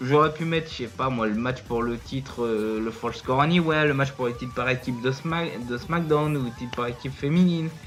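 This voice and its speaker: Music plays in the background as the speech moves at a moderate pace with hardly any pauses. Pitch variation is ordinary. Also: man. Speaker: wrestling YouTuber. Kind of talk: casual video review. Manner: hesitant, many fillers.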